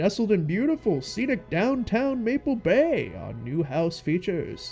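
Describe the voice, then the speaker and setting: Putting on a character voice, a man speaks at a moderate pace in a high pitch with very wide pitch swings, and music is clearly heard in the background. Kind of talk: real-estate advertising pitch. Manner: cheesy, salesy.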